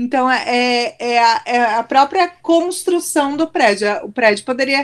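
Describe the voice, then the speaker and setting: Her pitch high, a woman speaks at a very slow pace with ordinary pitch variation. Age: 40s. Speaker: school principal. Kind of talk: testimony. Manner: halting.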